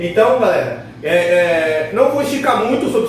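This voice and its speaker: The speaker talks at a moderate pace with ordinary pitch variation. There is audible room echo and noticeable background noise. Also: man. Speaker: body piercer and body modifier. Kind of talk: tutorial. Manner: casual slangy.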